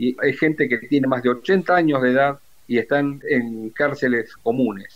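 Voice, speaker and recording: Using an ordinary speaking voice, a man keeps a moderate pace and shows ordinary pitch variation. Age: 60s. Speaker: retired naval officer and war veteran. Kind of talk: interview testimony.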